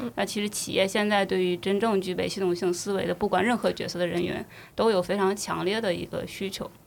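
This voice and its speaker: A woman talks fairly quickly at a medium pitch, with vocal fry and monotone, flat intonation. The recording is very clean, with a silent background. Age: young. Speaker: enterprise architecture consultant. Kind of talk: casual chat.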